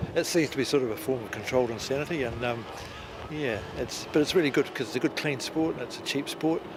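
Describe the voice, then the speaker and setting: A man with a New Zealand accent speaks at a very fast pace, fairly high in pitch with ordinary pitch variation. Noticeable background noise sits behind him. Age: 60s. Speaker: amateur powerboat racer. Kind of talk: interview.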